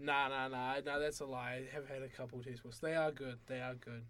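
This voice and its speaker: A man at medium pitch with a New Zealand accent, fairly quick pace and monotone, flat intonation, plus audible room echo. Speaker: university student. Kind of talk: casual chat.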